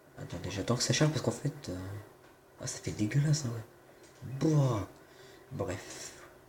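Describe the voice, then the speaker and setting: Against noticeable background noise, a man talks with lively intonation and long, frequent pauses. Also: medium pitch for a man, fairly slow pace. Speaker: gaming youtuber. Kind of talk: gameplay tutorial. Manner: hesitant, stumbling.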